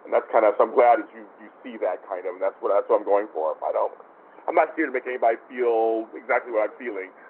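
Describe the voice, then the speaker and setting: A man talks at a very fast pace, with big swings in loudness. Noticeable background noise runs underneath. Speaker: TV show host and producer. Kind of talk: casual interview chat. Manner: calm.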